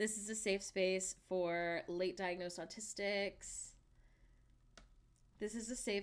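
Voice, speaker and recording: With an American accent, a woman speaks very slowly at medium pitch. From US South, Alabama. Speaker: streamer. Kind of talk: casual chat. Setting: live stream from home. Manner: animated.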